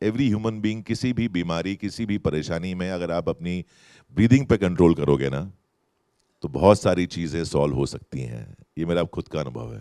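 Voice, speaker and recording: A man's very deep, low voice with a dark, mellow tone, very wide pitch swings, big swings in loudness, and a dry, close sound free of echo. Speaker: actor. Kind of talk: festival stage interview answer. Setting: live festival stage with audience. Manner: slow, deliberate.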